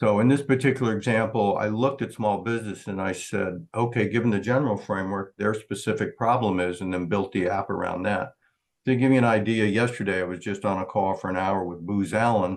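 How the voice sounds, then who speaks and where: Against a quiet background, a man speaks at a fairly quick pace with fairly even intonation. He has a fairly low pitch and an unremarkable speaking voice. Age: 60s. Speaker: startup founder presenting. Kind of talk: Q&A at entrepreneur meetup.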